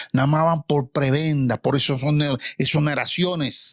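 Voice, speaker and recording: The delivery has an animated tone. The sound is dry and close, with no echo. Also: man. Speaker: retired general, political commentator. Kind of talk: heated debate.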